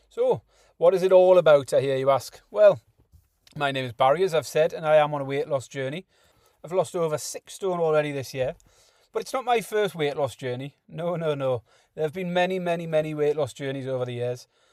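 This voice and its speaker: In a very clean recording with a silent background, a man with a fairly high pitch talks at a fairly quick pace using ordinary pitch variation. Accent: Geordie. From northeast England, Newcastle upon Tyne. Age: 40s. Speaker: podcast host. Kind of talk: casual monologue.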